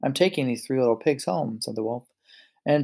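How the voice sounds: A natural reading voice is heard. There is a quiet background.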